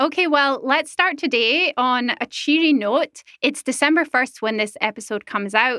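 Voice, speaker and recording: At a high pitch, a woman uses a raised, projected voice with a bright, sharp tone and ordinary pitch variation. She keeps a moderate pace in a dry, close sound with no echo. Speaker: podcast host. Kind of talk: news podcast hosting. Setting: studio in Berlin.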